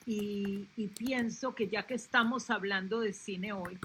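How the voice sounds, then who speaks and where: A woman with a fairly high pitch speaks very slowly, her intonation fairly even. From Colombia. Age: 70s. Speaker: panelist, relative of a film club founder. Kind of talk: panel discussion. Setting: live video stream.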